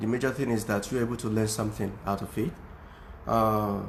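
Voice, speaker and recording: Audible room echo surrounds a man's voice. He has a non-native accent and keeps a moderate pace. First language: not English. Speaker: music teacher. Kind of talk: tutorial. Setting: Facebook live video at home. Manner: halting, many fillers.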